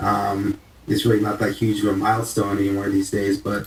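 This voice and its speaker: At a moderate pace, a man talks in a fairly low, somewhat breathy voice. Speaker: podcast co-host. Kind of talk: casual chat.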